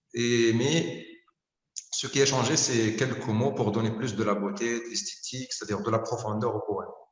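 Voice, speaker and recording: A man at a medium pitch talks at a fairly slow pace with ordinary pitch variation, and audible room echo surrounds his voice. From Algeria. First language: not French (Algerian mother tongue) (speaking French). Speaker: poet. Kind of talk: interview. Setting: video call. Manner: halting, many fillers.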